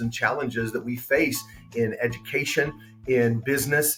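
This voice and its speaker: A man is speaking. Music plays in the background. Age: 50s. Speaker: former teacher, student testimonial. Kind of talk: testimony. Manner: halting.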